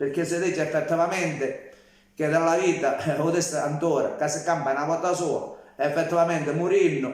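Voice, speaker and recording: At a fairly quick pace, a man with a high pitch speaks amid noticeable background noise and audible room echo. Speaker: social media livestreamer. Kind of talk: casual live-stream monologue. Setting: live stream.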